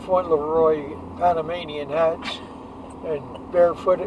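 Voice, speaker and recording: A man speaks at a high pitch in monotone, flat intonation against noticeable background noise. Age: 80s+. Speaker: war veteran. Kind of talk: casual chat. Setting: in a car. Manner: halting. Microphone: poor audio quality.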